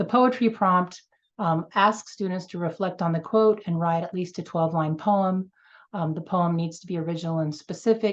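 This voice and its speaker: A woman's ordinary speaking voice, fairly low in pitch, at a moderate pace with fairly even intonation, against a quiet background. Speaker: museum education program presenter. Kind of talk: event presentation.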